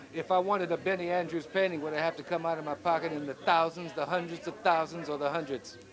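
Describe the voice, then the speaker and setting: In an American accent, a man with a high pitch talks at a very fast pace with hardly any pauses. His intonation stays fairly even, and noticeable background noise is present. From Chicago. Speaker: interviewer. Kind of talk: interview.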